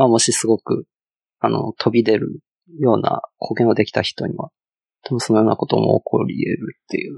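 A man with a Chinese accent talks at a moderate pace with long, frequent pauses. The sound is dry and close, with no echo. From China. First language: Chinese (speaking Japanese). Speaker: front-end engineer. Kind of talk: casual chat. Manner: halting, many fillers.

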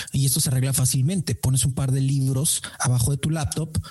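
Music plays behind a man speaking with a Mexican accent. His pitch is medium with ordinary variation, and his pace is moderate. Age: 30s. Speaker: sales trainer and podcaster. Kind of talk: interview.

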